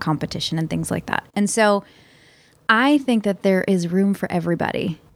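On a very clean recording with a silent background, a woman with a Philadelphia accent talks at a fairly quick pace, medium pitch and ordinary pitch variation. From Philadelphia, US. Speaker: success coach. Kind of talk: casual interview chat.

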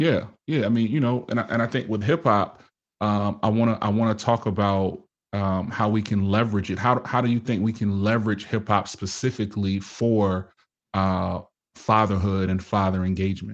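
Over a quiet background, a man with an ordinary speaking voice talks at a moderate pace, with a fairly low pitch, very even loudness and fairly even intonation. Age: 40s. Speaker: podcast host and fatherhood speaker. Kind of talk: casual interview.

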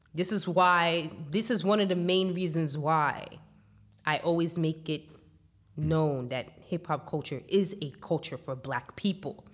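A woman speaks fairly slowly with ordinary pitch variation on a very clean recording with a silent background. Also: fairly low pitch for a woman. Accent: New York. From New York, Staten Island. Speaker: hip hop journalist. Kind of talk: interview.

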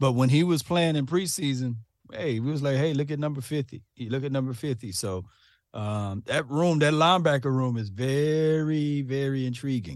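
Against a quiet background, a man with a normal speaking voice talks at a moderate pace, his pitch fairly high with ordinary variation. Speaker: sports commentator guest. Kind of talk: casual sports talk.

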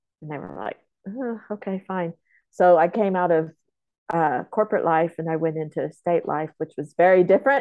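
With an American accent, a woman with an unremarkable speaking voice talks at a moderate pace in a fairly low pitch, her intonation lively. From Oklahoma, Comanche homelands near Lawton. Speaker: film producer. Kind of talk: casual interview.

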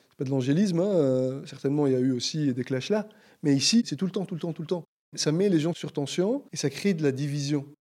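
His tone dark and mellow, a man speaks at a fairly quick pace with a fairly high pitch and ordinary pitch variation. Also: very clean recording, silent background. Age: 40s. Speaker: citizen sharing views on the COVID crisis. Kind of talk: interview conversation.

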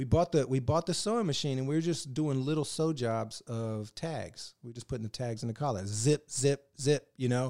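An ordinary speaking voice with an American accent talks at a fairly quick pace with lively intonation, on a very clean, dry, close recording with no echo and a silent background. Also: man. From Northern Virginia. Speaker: actor and filmmaker. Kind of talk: casual chat.

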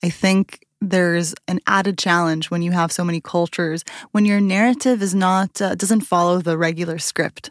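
Recorded very cleanly against a silent background, with dry, close sound and no echo, a woman speaks at a fairly low pitch with ordinary pitch variation in an unremarkable speaking voice. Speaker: podcast host. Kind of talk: interview conversation.

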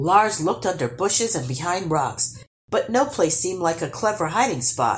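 Plain reading aloud with lively intonation plays over a quiet background.

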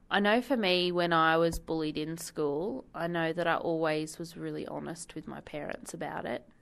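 Over a quiet background, a woman speaks with an Australian accent at a moderate pace and with hardly any pauses. Her pitch is fairly low, with ordinary variation. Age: 20s. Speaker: council waste services officer. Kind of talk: interview.

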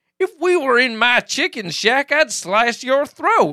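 Using a put-on character voice, a man speaks at a fairly slow pace with an extremely high pitch. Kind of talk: comic amateur reenactment. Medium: talk show. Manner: angry, blustering, shouting.

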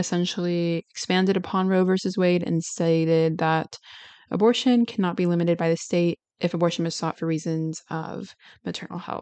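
Against a quiet background, a woman with a normal speaking voice talks at a fairly quick pace and a fairly low pitch. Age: young. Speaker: solo podcast host. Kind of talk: solo podcast monologue on research. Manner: casual, frequent fillers and laughs.

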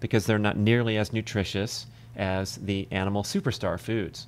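An unremarkable speaking voice from a man, fairly low in pitch, with ordinary pitch variation, a moderate pace and a very clean recording over a silent background. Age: 50s. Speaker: former professional triathlete and author. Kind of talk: podcast interview. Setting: podcast recording.

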